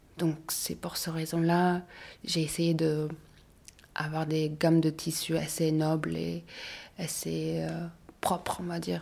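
A woman with a Mongolian accent, very slow, with long, frequent pauses. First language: Mongolian (speaking French). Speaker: fashion designer. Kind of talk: interview. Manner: halting.

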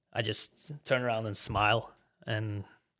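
A man's medium-pitched voice with a Norwegian accent, in a very clean recording over a silent background. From Norway. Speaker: former college soccer player. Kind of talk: casual interview chat. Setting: studio.

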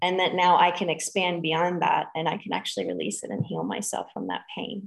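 Her medium-pitched voice carries vocal fry as this woman talks at a moderate pace. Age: 40s. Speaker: spiritual teacher. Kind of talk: interview.

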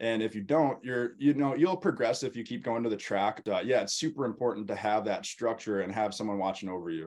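Over a quiet background, a man with a normal speaking voice talks at a fairly quick pace and medium pitch, with lively intonation and hardly any pauses. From US Midwest, Wisconsin. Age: 20s. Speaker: motocross coach and pro racer. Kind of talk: interview.

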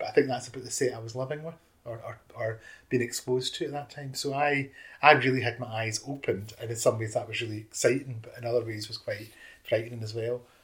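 With a Scottish accent, a man talks at a very fast pace with fairly even intonation and big swings in loudness. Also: medium pitch for a man. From Scotland. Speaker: youth worker. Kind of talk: interview reminiscence.

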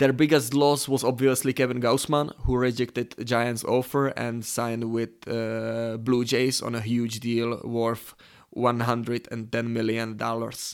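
A man speaks at a medium pitch and a fairly slow pace, with hardly any pauses. His intonation is monotone and flat. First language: not English (third language). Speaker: sports betting podcaster. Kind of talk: solo sports betting analysis. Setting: recording alone at computer. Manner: hesitant, many fillers.

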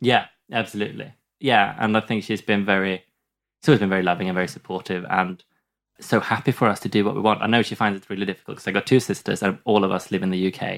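On a very clean recording with a silent background, a man speaks very fast with a fairly low pitch and fairly even intonation. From southern Sweden. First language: Swedish. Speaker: comedian. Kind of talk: casual chat. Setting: studio.

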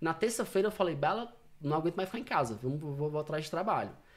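A man talks at a fairly quick pace with lively intonation and a fairly high pitch, in an ordinary speaking voice, on a very clean recording with a silent background. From Fortaleza, Ceará, Brazil. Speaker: insurance broker. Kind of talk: casual chat.

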